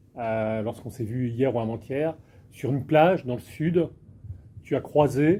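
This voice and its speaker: This man has a dark, mellow tone at a medium pitch with ordinary pitch variation. He talks at a fairly slow pace with long, frequent pauses. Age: 60s. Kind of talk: panel discussion. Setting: breakfast conference with audience.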